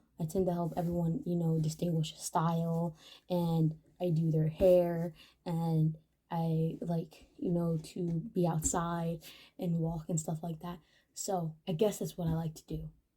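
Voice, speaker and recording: The voice has a dark, mellow tone and is somewhat breathy. Delivery is fairly slow, with monotone, flat intonation. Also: woman, fairly low pitch for a woman. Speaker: mental health vlogger. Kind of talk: casual vlog monologue.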